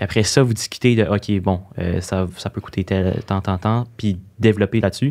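Against a quiet background, a man talks at a moderate pace in a Quebec accent. His voice is fairly low, and his intonation stays fairly even. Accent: Québécois French. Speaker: social media influencer. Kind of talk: interview. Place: studio. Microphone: studio mic.

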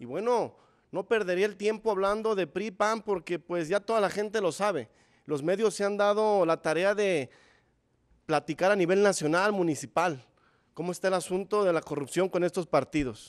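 Over a quiet background, a man talks at a moderate pace with a high pitch and ordinary pitch variation. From Zapopan, Jalisco, Mexico; Jalisco, Mexico. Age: 30s. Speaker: mayoral candidate, primary school teacher; candidate, primary school teacher. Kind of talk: political debate. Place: studio. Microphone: podium.

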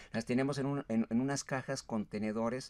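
A man talks at a fairly quick pace. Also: quiet background. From Mexico, Michoacán (raised in Apatzingán); Michoacán, Mexico. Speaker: writer and poet; poet. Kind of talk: interview. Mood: relaxed reminiscing. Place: studio. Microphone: studio mic.

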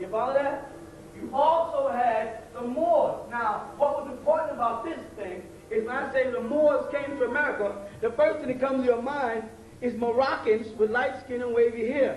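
Speech at a moderate pace comes through with audible room echo and light background noise. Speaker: lecturer. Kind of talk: lecture. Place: stage. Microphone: podium.

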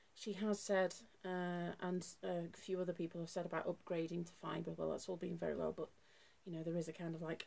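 At a moderate pace, a woman is talking. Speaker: music teacher vlogger. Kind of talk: casual vlog chat. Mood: weary but hopeful. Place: home room. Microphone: phone near.

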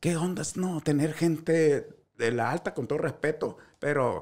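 A man with a Sinaloan accent speaks at a fairly slow pace in an animated tone. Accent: Sinaloan Mexican Spanish. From Sinaloa, Mexico. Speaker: social media comedian. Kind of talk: casual chat. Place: studio. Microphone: studio mic.

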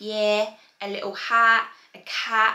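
Light background noise sits under the audio, and the room echo is audible. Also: woman. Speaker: fashion vlogger. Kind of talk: casual vlog chat. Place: home room.

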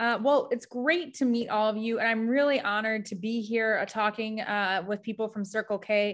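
A woman with an American accent speaks at a moderate pace with hardly any pauses, using a fairly high pitch and fairly even intonation. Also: quiet background. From US Midwest. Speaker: mental health nonprofit staff presenter. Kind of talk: educational workshop presentation. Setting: video call. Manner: casual, frequent filler words. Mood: warm, friendly. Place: home room. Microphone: video call.

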